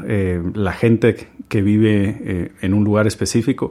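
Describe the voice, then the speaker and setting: With fairly even intonation, an unremarkable speaking voice proceeds at a fairly slow pace. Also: man. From Guatemala. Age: 30s. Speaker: chef. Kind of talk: storytelling monologue.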